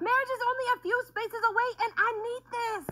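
Putting on a character voice, a woman squeaks at an extremely high pitch. She talks at a fairly quick pace. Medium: comedy sketch. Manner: dramatic, exclamatory.

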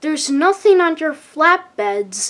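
A woman does a put-on character voice, high-pitched and fairly bright. She speaks at a slow pace with big pitch swings.

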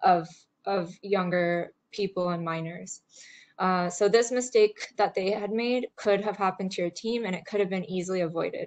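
A woman speaks at a moderate pace. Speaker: webinar presenter. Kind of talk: webinar presentation. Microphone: video call.

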